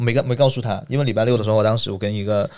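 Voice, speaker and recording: This man talks very fast in a mid-range pitch. His pitch shifts in a normal way. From mainland China. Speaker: international retail channel sales manager. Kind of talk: casual interview chat. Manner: halting with frequent fillers and repetitions.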